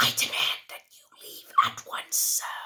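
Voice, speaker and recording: A whispering, raspy, put-on character voice at a fairly slow pace. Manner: indignant, pompous.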